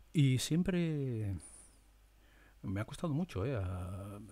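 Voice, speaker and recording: This man's voice has a dark, mellow tone, a medium pitch and a somewhat breathy quality. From Spain. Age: 50s. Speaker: media presenter; presenter. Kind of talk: monologue. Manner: animated; halting. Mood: reflective, sometimes sad. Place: home room. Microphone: studio mic.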